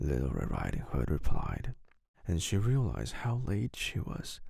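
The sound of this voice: A man talks at a fairly slow pace in a low pitch with very wide pitch swings. His tone is slightly mellow, with vocal fry.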